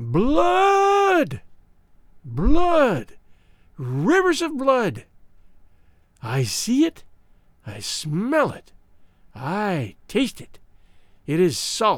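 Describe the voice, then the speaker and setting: This is a put-on character voice at a fairly high pitch. It sounds shrill. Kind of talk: horror storytelling. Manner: wailing, gloating prophetic frenzy.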